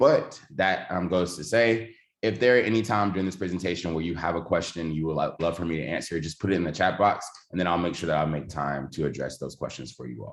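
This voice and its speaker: A man with a Southern US accent talks at a very fast pace in a very deep, low pitch, with vocal fry. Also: ordinary pitch variation. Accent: Southern US (Georgia). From US South, Georgia. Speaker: education technology trainer, former teacher. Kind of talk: online workshop presentation.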